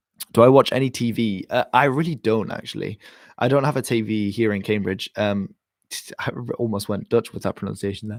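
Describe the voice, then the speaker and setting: The speaker has an English accent and ordinary pitch variation, talking at a fairly quick pace. The recording is very clean with a silent background and a dry, close sound with no echo. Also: man, medium pitch for a man. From England. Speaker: history YouTuber. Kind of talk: live stream Q&A chat.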